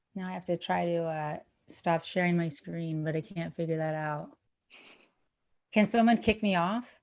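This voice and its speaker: A woman with a fairly low pitch and ordinary pitch variation speaks with long, frequent pauses. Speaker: housing advocacy nonprofit presenter. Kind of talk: presentation. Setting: video call. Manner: fast; energetic.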